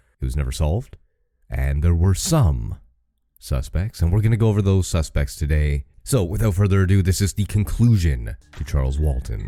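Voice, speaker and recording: A man's very deep, low pitch and lively intonation, with music in the background. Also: moderate pace. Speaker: podcast host. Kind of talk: podcast narration. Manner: voice cracking, cutting in and out.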